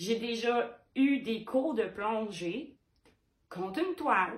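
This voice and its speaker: In a Quebec accent, a woman with a fairly high pitch speaks in an animated tone, with vocal fry. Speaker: painter. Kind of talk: vlog monologue.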